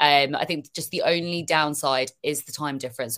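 Recorded very cleanly against a silent background, a woman with a British accent speaks at a very deep, low pitch with monotone, flat intonation. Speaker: football social media creator. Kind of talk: casual chat.

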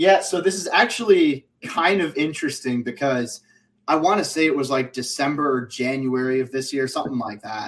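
Using an unremarkable speaking voice, a man talks at a moderate pace and a fairly high pitch with ordinary pitch variation. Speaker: football writer and draft analyst. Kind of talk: casual sports chat.

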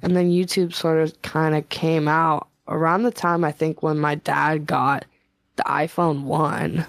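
In a very deep, low voice, a woman speaks at a fairly slow pace with a monotone, flat intonation and very even loudness. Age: 20s. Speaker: singer-songwriter. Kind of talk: casual chat.

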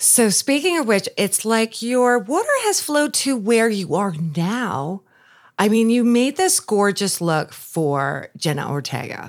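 A woman with an American accent speaks at a fairly slow pace in a fairly high voice, with very wide pitch swings. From New York, Long Island. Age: 50s. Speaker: podcast host. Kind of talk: casual interview.

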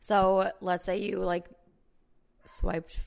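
A woman with an American accent speaks at a medium pitch in an animated tone. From Chicago area, US Midwest. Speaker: podcast host. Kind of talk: casual chat between friends. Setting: recording at home, on apartment floor. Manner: animated, laughs often.

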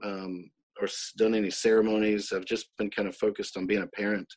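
In a Southern US accent, a man with a fairly low pitch talks at a very fast pace. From US South, Mississippi. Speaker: author. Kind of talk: casual interview.

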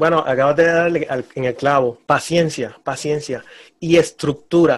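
A man talks at a moderate pace with a fairly high pitch. He has a normal speaking voice. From Puerto Rico, Humacao. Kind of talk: preaching exhortation.

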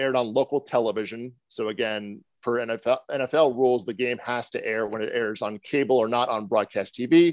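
A man with a normal speaking voice talks at medium pitch in an American accent. The sound is dry and close with no echo, and the background is quiet. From New Jersey. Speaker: podcast host discussing media and sports business. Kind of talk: casual chat.

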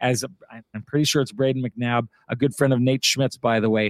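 With a plain, everyday voice, a man talks at a moderate pace and with fairly even intonation. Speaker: sports broadcaster. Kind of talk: casual chat.

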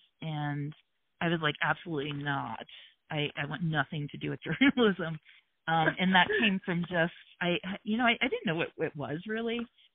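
An ordinary speaking voice with an American accent at a moderate pace. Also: woman, fairly low pitch for a woman. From US Midwest, Hamilton, Ohio near Cincinnati. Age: 50s. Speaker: journalist. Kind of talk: interview.

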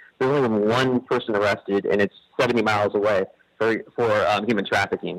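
A plain, everyday voice moves at a fairly quick pace, with a dry, close sound and no echo. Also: man. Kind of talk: casual chat.

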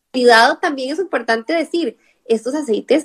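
A woman with a Costa Rican accent speaks fairly quickly in a high voice, the sound dry and close with no echo. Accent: Costa Rican, noticeable on the R sounds. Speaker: nutritionist. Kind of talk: live-stream interview. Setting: online live stream.

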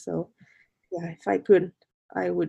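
A woman with a Spanish accent, at a moderate pace. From Mexico, Colima. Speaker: artist. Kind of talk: interview.

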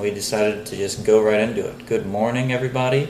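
Noticeable noise sits in the background. The delivery is monotone and flat. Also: man. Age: 20s. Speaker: podcast co-host. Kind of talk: casual chat.

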